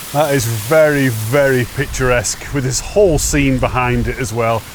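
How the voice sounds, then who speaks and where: Noticeable background noise surrounds a man's medium-pitched voice. He keeps a moderate pace with ordinary pitch variation. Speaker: hiking vlogger. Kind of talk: walking vlog narration. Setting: outdoors on a fell hike. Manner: casual, halting.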